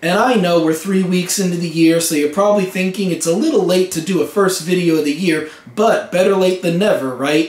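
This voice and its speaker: Speaking fairly quickly with hardly any pauses, a man uses a high pitch and ordinary pitch variation amid audible room echo. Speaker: vlogger. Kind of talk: casual vlog talk.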